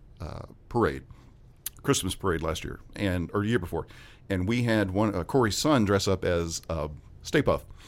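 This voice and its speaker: A man with a Southern US accent speaks at a moderate pace, his fairly low voice showing ordinary pitch variation. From West Memphis, Arkansas. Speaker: ghostbusters fan club member. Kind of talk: casual interview chat. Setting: studio.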